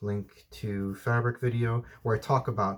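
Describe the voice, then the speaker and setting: At a moderate pace, a man speaks in a fairly low voice. The sound is somewhat breathy. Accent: American. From United States, Mexican family. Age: 30s. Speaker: outdoor vlogger. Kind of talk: Q&A vlog. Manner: hesitant, with many fillers.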